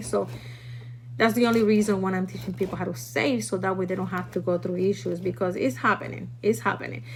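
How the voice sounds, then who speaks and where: A woman talks with a Puerto Rican accent. Noticeable background noise is present. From Puerto Rico. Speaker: food prepping teacher. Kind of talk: live stream tutorial. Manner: casual, chatty.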